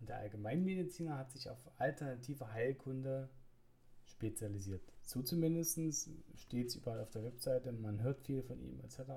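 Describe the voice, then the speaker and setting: A man's somewhat breathy voice, dark and mellow in tone, at a moderate pace. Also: medium pitch for a man, ordinary pitch variation. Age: 30s. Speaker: podcaster living with multiple sclerosis. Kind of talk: personal monologue podcast. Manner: hesitant, many filler sounds.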